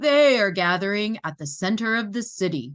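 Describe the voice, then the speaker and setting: A woman puts on a character voice at medium pitch. She speaks at a moderate pace. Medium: read story. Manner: brisk, matter-of-fact.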